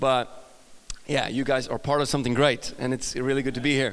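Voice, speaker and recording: A man speaks in an upbeat, energetic tone. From Sweden. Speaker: guest pastor preaching a sermon. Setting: stage, church service. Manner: upbeat, humorous, energetic.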